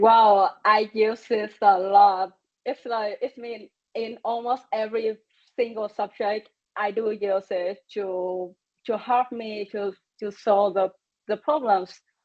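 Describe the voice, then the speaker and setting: A woman with a non-native accent, very slow pace, fairly high pitch and fairly even intonation. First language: not English. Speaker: webinar presenter, student. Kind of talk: webinar Q&A. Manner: halting, many repetitions.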